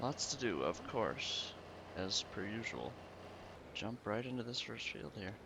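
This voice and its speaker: Mumbling with vocal fry and a bright, sharp tone, a man speaks at a medium pitch and a fairly slow pace, with long, frequent pauses. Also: ordinary pitch variation. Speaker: gaming video creator. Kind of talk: casual gameplay commentary.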